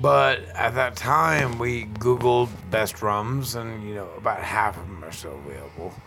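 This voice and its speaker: With hardly any pauses, a man talks at a fairly slow pace in a fairly low pitch, his pitch swinging very widely and his loudness shifting a lot, amid audible room echo and noticeable background noise. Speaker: podcast host and bar owner. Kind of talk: casual chat. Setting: in person at a tiki event.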